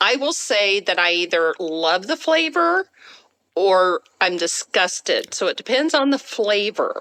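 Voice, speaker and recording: A bright, sharp, animated tone with very wide pitch swings and very even loudness, at a fairly slow pace, in a dry, close sound with no echo. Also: woman, medium pitch for a woman. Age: 60s. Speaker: home cook and food social media creator. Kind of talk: casual podcast chat.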